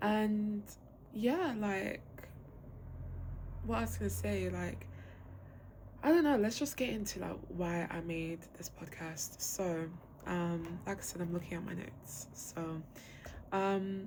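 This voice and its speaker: A woman talks at a very slow pace with long, frequent pauses, her fairly low, somewhat breathy voice swinging very widely in pitch. Audible room echo surrounds her. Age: 20s. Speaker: podcast host. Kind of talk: casual monologue. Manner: casual, filler-heavy.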